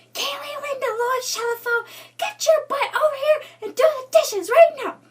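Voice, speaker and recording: A female-sounding put-on character voice shouts at a moderate pace with an extremely high pitch. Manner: yelling, scolding.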